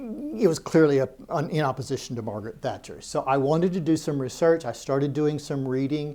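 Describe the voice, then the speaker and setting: Talking at a fairly quick pace, a man uses a normal speaking voice with an American accent. His pitch variation is ordinary. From United States. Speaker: historian giving a talk. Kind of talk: public lecture.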